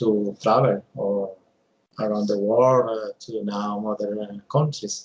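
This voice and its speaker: With a Colombian accent, a man speaks at a very slow pace, fairly low in pitch, with fairly even intonation. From Colombia, Bogota. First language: Spanish. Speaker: English language student. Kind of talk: mock speaking exam. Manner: halting, many fillers.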